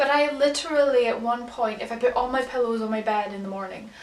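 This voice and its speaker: A high-pitched woman's voice with an English accent, at a moderate pace with ordinary pitch variation, over noticeable background noise. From England. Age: 20s. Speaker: vlogger. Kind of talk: casual chat.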